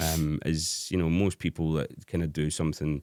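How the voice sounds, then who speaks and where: In a Scottish accent, the speaker talks at a moderate pace on a very clean recording with a silent background and a dry, close sound with no echo. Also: man. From Scotland. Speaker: hard dance DJ. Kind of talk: casual chat. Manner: halting.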